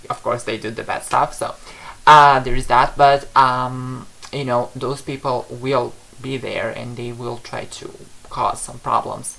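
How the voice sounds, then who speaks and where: Speaking at a fairly slow pace with a non-native accent, a man holds a medium pitch in a monotone, flat delivery. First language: not English. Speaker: psychic tarot reader. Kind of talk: livestream reading answering viewer questions. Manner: halting, many fillers.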